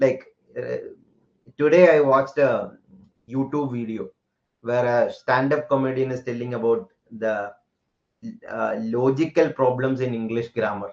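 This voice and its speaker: A man with a Keralan accent speaks at a medium pitch and fairly slow pace, with fairly even intonation and long, frequent pauses. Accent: Indian English, Malayali. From India, Kerala. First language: Malayalam. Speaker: teacher. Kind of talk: lecture. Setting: live online class. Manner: code-switching Hindi and English.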